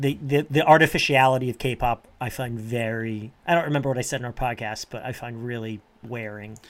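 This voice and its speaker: With a plain, everyday voice, a man at medium pitch talks at a fairly quick pace with hardly any pauses, fairly even intonation and big swings in loudness. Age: 40s. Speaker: podcast co-host and trivia quizmaster. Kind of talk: casual chat. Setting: remote call.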